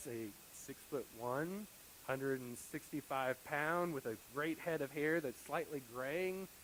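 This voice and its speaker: A man with an American accent speaks in a fairly high voice with lively intonation. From US South. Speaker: pastor. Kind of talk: sermon. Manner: fast.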